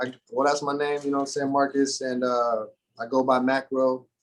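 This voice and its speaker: Speaking at a moderate pace, a man with a fairly high pitch has an unremarkable speaking voice. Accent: American. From Arizona. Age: 30s. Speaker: rapper. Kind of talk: casual chat. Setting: recording studio.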